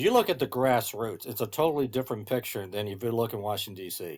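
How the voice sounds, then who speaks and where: With an American accent, a man speaks fairly quickly at a medium pitch with ordinary pitch variation on a very clean recording with a silent background. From US Midwest. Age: 60s. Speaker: political commentator and author. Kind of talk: political podcast discussion. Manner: halting with repetitions.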